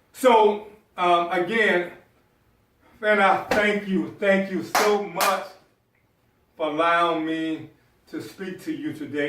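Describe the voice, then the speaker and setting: A man with an American accent talks at a very slow pace in a high voice. Room echo is audible. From US South, South Carolina. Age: 50s. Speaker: motivational speaker. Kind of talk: motivational speech.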